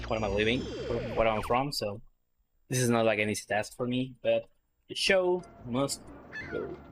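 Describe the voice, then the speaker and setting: Long, frequent pauses over music in the background. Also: moderate pace. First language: not English. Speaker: speedrunner. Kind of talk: live gameplay commentary. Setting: livestream. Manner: halting.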